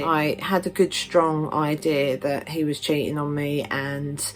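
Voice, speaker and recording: A woman with a southern English accent speaks at a fairly slow pace. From southern England, Stevenage, Hertfordshire. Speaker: witchcraft vlogger. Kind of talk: personal story vlog. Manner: casual, many fillers.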